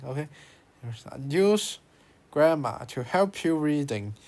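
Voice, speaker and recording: A man with a Chinese accent. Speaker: language learning youtuber. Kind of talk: tutorial. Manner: halting.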